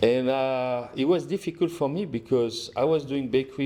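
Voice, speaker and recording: A man's dark, mellow tone with a strong French accent. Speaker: restaurant owner and chef. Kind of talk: casual interview chat. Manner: halting, many fillers and restarts.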